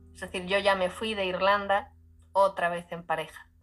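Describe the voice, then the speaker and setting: A woman at a medium pitch talks over music in the background. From Spain, Galicia (rural). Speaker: podcast guest sharing her emigrant story. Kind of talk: casual interview chat.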